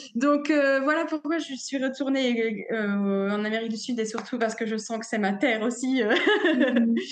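At a fairly slow pace with hardly any pauses, a woman speaks in a high voice with ordinary pitch variation, amid audible room echo and noticeable background noise. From northern France, near Dunkirk. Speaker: cacao ceremony facilitator and masseuse. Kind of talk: interview conversation. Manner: halting, many fillers.

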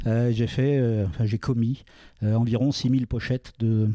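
A man with a dark, mellow tone at medium pitch speaks somewhat breathily with fairly even intonation, recorded very cleanly against a silent background in a dry, close sound with no echo. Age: 50s. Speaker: entrepreneur. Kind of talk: talk at a public event. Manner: halting.

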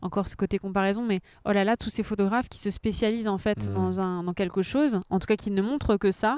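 A woman speaks at a very fast pace with a medium pitch and fairly even intonation. Her tone is dark and mellow, and the very clean recording is dry and close, with no echo and a silent background. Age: 30s. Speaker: photographer. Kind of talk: casual chat. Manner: halting.

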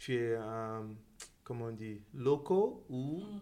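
Speech comes very slowly. Its tone is dark and mellow. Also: man. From Guinea, then teens in the US (Atlanta). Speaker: interviewee sharing his life story. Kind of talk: interview testimony.

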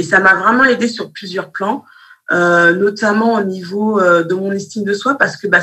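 At a moderate pace, a woman with an unremarkable speaking voice talks at a medium pitch with ordinary pitch variation. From Malian heritage, raised in France. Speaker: teacher and business consultant. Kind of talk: interview.

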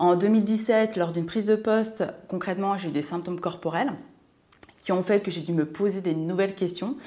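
A woman talks in an ordinary speaking voice at a moderate pace. Her pitch is medium, with ordinary variation. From France, Seine-et-Marne (Martinican family). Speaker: lifestyle and money coach, podcast co-host. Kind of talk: casual chat.

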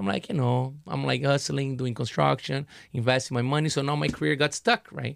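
Speaking at a fairly quick pace with a Portuguese accent, a man at medium pitch has lively intonation, recorded very cleanly with a silent background. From Brazil. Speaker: artist. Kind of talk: casual chat.

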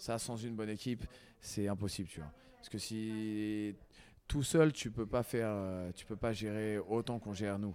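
This man has a fairly low pitch, fairly even intonation, and an unremarkable speaking voice. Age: 30s. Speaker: basketball coach and sports centre founder. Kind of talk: casual interview.

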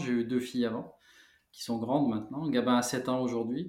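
A man talks in a medium pitch, keeping a moderate pace and ordinary pitch variation. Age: 40s. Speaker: founder of an eco paint brand, former building contractor. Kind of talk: interview. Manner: hesitant, many filler sounds.

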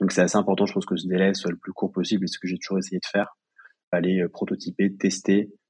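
Very fast and monotone in its flat intonation, a man's very deep, low voice comes through dry and close with no echo. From Paris region, France. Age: 20s. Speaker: young entrepreneur, pharmacy graduate. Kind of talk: interview testimony. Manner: hesitant, with frequent fillers.

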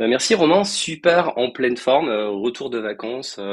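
A man at medium pitch speaks with lively intonation at a fairly slow pace. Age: 40s. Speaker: entrepreneur, founder of a software training company. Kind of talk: podcast interview.

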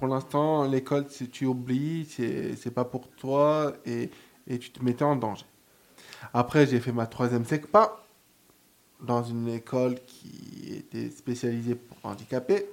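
A man's medium-pitched voice at a very slow pace, with ordinary pitch variation and big swings in loudness. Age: 20s. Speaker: first-time radio columnist, aspiring DJ. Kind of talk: radio column and personal testimony. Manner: halting.

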